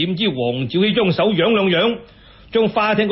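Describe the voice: With lively intonation, someone does plain reading aloud.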